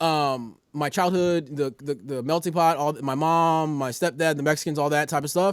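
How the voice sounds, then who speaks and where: In a very clean recording with a silent background, a man with an American accent speaks in an animated tone. His pitch is fairly high and he uses hardly any pauses. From Southern California. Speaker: rapper and Marine veteran. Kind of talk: casual interview chat. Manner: fast, repetitive filler words.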